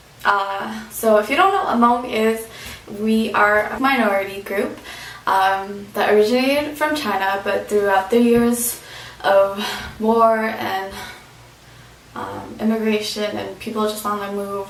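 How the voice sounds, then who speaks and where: Noticeable background noise and audible room echo surround a woman's voice. She speaks at a fairly slow pace and a fairly high pitch. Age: 20s. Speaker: vlogger, former overseas volunteer English teacher. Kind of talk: casual vlog monologue. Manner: hesitant, many fillers.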